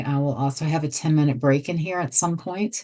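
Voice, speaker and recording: A woman's voice, very deep and low in pitch, moves with fairly even intonation. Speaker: software trainer. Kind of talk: webinar tutorial. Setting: online webinar.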